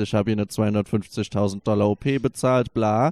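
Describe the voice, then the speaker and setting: Dark and mellow, a man's medium-pitched voice keeps fairly even intonation, recorded dry and close with no echo. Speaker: podcast co-host. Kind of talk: casual chat. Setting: furniture store showroom. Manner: quiet.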